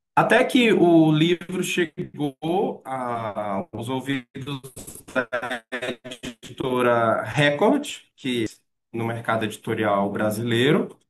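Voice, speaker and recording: Recorded with a dry, close sound and no echo, a man speaks at a very slow pace. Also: medium pitch for a man. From Maranhão, northeastern Brazil. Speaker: tourism researcher and lecturer. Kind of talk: lecture. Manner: hesitant fillers.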